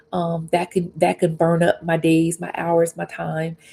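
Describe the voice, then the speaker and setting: Soft-spoken and somewhat breathy, a woman with a fairly low pitch and a dark, mellow tone talks at a moderate pace in monotone, flat intonation. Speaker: faith and life coach. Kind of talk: livestream devotional talk. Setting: live stream on YouTube and Facebook. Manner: gentle, reflective.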